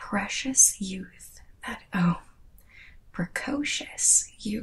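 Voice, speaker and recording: Whispering, a woman speaks at a very slow pace. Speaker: tarot reader. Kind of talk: tarot reading. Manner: soft-spoken ASMR reading voice. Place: home room.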